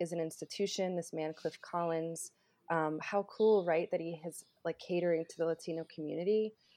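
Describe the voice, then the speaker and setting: With an American accent, a woman talks at a moderate pace in a fairly low pitch and a monotone, flat intonation. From North Carolina. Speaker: journalist and filmmaker. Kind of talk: interview.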